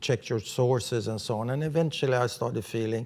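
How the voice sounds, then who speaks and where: A man with a Swedish accent and fairly even intonation. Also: very clean recording, silent background. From Sweden. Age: 70s. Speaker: writer and journalist. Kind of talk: interview.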